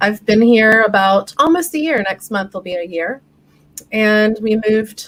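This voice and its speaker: A woman's ordinary speaking voice, fairly high-pitched, with an American accent and a fairly slow pace. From United States. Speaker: flow metrics consultant. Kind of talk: interview on live-stream talk show.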